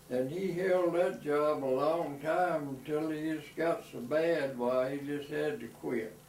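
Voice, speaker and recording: A man's fairly high-pitched voice with an Alabama accent and hardly any pauses, amid noticeable background noise and audible room echo. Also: ordinary pitch variation, fairly slow pace. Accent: US Southern (Alabama). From Alabama (Birmingham). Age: 80s+. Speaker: elderly man telling his life story. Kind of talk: oral history interview. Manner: halting, with many fillers.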